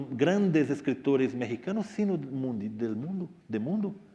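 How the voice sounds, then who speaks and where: With a Portuguese accent, a man speaks in a dark, mellow tone with very wide pitch swings. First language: Portuguese (speaking Spanish). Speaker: writer. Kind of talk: Q&A talk to students. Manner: halting.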